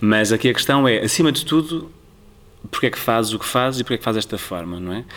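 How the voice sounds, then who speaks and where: Speaking very fast, a man keeps a medium pitch. His intonation is lively. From Portugal, Tomar area (Ribatejo). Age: young. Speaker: cultural programmer. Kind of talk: interview. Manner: halting.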